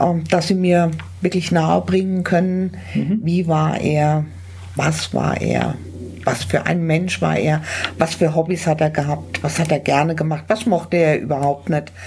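Noticeable background noise sits behind a woman speaking at a fairly slow pace. Her voice is very deep and low in pitch, with very even loudness. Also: ordinary pitch variation. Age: 60s. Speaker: funeral celebrant. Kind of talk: interview. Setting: on location at a charity office.

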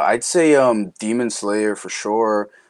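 Against a quiet background, a man with a New York accent speaks at a very slow pace and a fairly low pitch. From Queens, New York (born Dominican Republic). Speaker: voice actor. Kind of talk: casual interview chat.

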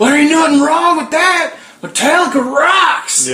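A high-pitched, put-on character voice at a moderate pace

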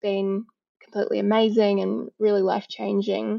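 A woman speaks with a New Zealand accent. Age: 40s. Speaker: donor-conceived advocate. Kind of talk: casual chat.

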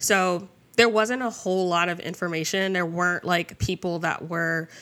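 On a very clean recording with a silent background, a woman with an American accent speaks at a moderate pace in a bright, sharp tone, her fairly low pitch showing ordinary variation. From New Jersey. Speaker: sex educator and business coach. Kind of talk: casual interview.

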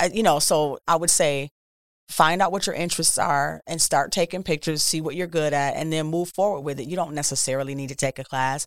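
With an American accent, a woman speaks at a very deep, low pitch and a fairly quick pace with fairly even intonation, in a very clean recording with a silent background and a dry, close sound with no echo. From Milwaukee, Wisconsin, US Midwest. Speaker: photographer. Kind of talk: interview.

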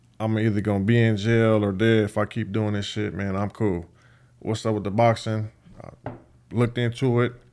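A man talks at a moderate pace in an American accent. His intonation is monotone and flat. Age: 30s. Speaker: professional boxer and YouTuber. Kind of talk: casual chat. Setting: studio.

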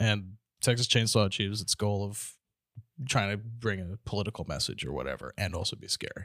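In a normal speaking voice, a man talks at a fairly quick pace with a fairly low pitch, ordinary pitch variation and big swings in loudness, on a dry, close, very clean recording with a silent background. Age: 20s. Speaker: comedian. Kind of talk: casual chat.

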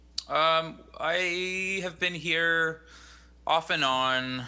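A man with a Western Canadian accent speaks in a bright, sharp tone. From British Columbia, Canada (Fraser Valley). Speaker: singer-songwriter and composer. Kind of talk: casual interview.

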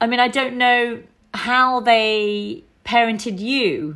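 A woman with a British accent. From UK, British Indian family. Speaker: podcast presenter. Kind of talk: interview.

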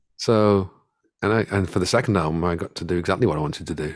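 In an English Midlands accent, a man talks at a very fast pace with a very deep, low pitch and ordinary pitch variation, on a very clean recording with a silent background. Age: 40s. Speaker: singer-songwriter. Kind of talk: casual chat. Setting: home studio. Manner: halting, many fillers and repeats.

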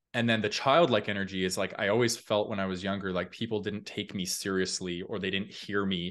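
A man with an ordinary speaking voice, fairly low in pitch, fairly even intonation and hardly any pauses against a quiet background. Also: fairly quick pace. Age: 30s. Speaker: personal growth content creator. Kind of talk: casual chat.

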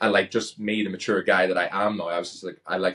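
Spoken very fast in a Northern Irish accent, the delivery is monotone, with flat intonation. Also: man. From Northern Ireland. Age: 30s. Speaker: pro wrestler and reality TV contestant. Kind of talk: casual interview chat. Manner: well spoken.

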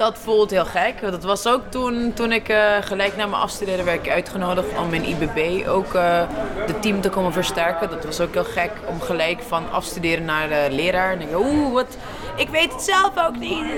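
With hardly any pauses, a woman speaks at a moderate pace and medium pitch, her intonation lively. Audible room echo and noticeable background noise surround her voice. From Curaçao. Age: 30s. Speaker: artist. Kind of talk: interview.

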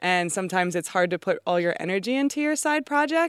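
A woman uses a plain, everyday voice at medium pitch with an American accent and lively intonation, recorded very cleanly against a silent background with a dry, close sound and no echo. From US East Coast. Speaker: winemaker. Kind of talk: interview. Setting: outdoors.

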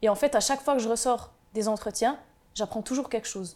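A woman speaks with a fairly high pitch and ordinary pitch variation. Her tone is dark and mellow. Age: 20s. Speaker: mental health advocate, insurance worker. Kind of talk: testimony.

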